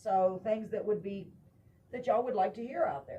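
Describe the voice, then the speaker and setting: A woman with a Texan accent has a dark, mellow tone that is somewhat breathy. Her pitch sits fairly high and her intonation is lively. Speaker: talk show host. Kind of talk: casual chat. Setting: live stream. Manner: fast.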